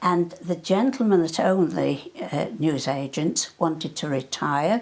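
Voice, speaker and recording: A woman with a northwest English accent, fairly low-pitched with vocal fry, lively intonation and a fairly slow pace. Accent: north-west English. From Cheshire, north-west England (Hale, near Manchester). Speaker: wartime eyewitness. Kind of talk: oral history interview. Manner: halting.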